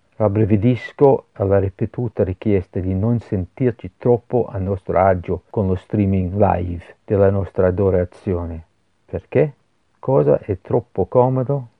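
Speaking in a Scottish accent, a man keeps a fairly low pitch and a fairly slow pace. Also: ordinary pitch variation. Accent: foreign (Scottish) accent in Italian. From Scotland, Glasgow. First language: English (speaking Italian). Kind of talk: religious meditation. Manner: halting.

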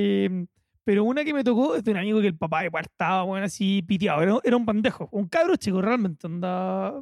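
A man with a Chilean accent talks at a fairly quick pace in a high pitch with lively intonation, dry and close with no echo on a very clean recording with a silent background. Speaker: podcast co-host. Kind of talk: casual chat.

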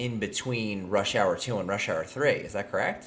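A somewhat breathy man talks at a moderate pace. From California. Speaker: podcast host. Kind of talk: casual chat.

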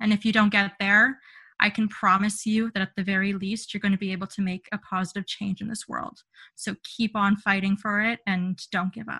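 Against a quiet background with a dry, close sound and no echo, a woman with a Canadian accent talks at a fairly quick pace in a bright, sharp tone, her medium pitch monotone and flat. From Ontario, Canada. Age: 20s. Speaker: mental health advocate and public speaker. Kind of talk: interview.

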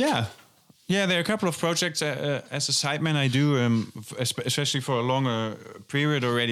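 With a German accent, a man talks at a fairly quick pace and ordinary pitch variation. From western Germany. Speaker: jazz drummer and festival organizer. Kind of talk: casual interview. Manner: hesitant, many fillers and repetitions.

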